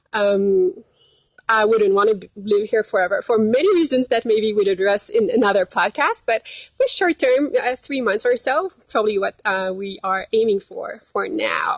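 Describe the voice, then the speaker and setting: Lively intonation and a moderate pace in a Quebec accent, with a dry, close sound and no echo. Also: woman, fairly high pitch for a woman. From Quebec, Canada. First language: French. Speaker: dietitian. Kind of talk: live stream casual chat. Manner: hesitant, many fillers.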